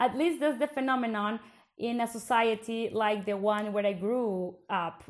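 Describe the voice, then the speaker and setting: A woman with a fairly high voice and a Colombian accent, ordinary pitch variation, a moderate pace, and a very clean recording with a silent background. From Bogota, Colombia. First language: Spanish. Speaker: podcast host, PhD researcher. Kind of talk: casual conversational podcast chat.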